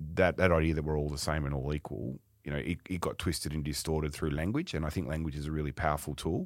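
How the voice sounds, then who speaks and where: With an Australian accent and vocal fry, the speaker rattles off words at a very fast pace in a monotone, flat intonation on a very clean recording with a silent background. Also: man. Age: 50s. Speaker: retail company executive. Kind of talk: podcast interview.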